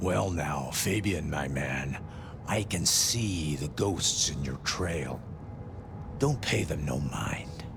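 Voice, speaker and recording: A man's put-on character voice at a very slow pace, with loud background noise. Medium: machinima. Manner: laid-back, folksy.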